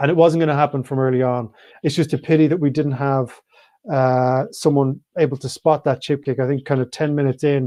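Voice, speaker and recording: A man with an Irish accent speaks at a fairly high pitch in a dark, mellow tone. He moves at a fairly quick pace with fairly even intonation. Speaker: rugby pundit. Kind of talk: live show commentary. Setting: online live stream. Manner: fast.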